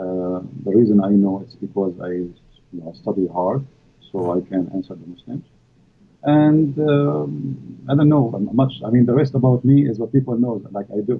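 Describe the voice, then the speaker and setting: A man with an Arabic accent at a moderate pace, fairly low in pitch, with very wide pitch swings and big swings in loudness. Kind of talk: live stream interview. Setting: live stream. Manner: halting, many fillers.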